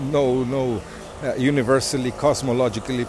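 A man at a medium pitch over noticeable background noise. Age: 50s. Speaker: podcast host. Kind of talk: casual monologue. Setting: home. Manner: halting.

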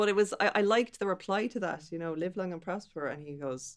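A fairly quick delivery in a Dublin accent, with lively intonation. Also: woman. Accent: Irish, Dublin. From Dublin, Ireland. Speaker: guest. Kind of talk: casual chat. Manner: animated, laughs often.

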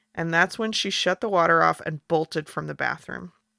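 A woman with an American accent speaks in a fairly low pitch and a bright, sharp tone. The recording is very clean, the background silent. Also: dry, close sound with no echo. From United States. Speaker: podcast host. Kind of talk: casual chat. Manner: animated.

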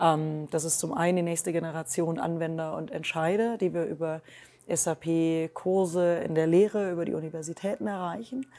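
A woman's dark, mellow tone at a fairly low pitch, with ordinary pitch variation and a moderate pace. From Germany, Rhineland. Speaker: tech innovation executive. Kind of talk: interview. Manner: many filler sounds (ähm).

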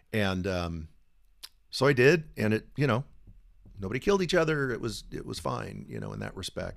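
This speaker, with an American accent, talks at a moderate pace with long, frequent pauses and big swings in loudness. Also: man. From San Diego, California. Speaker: podcast guest sharing miscarriage story. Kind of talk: casual interview storytelling. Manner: humorous, joking.

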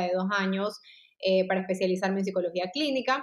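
The woman has a normal speaking voice at medium pitch, with ordinary pitch variation and a fairly quick pace. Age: 30s. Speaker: clinical psychologist. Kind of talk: interview.

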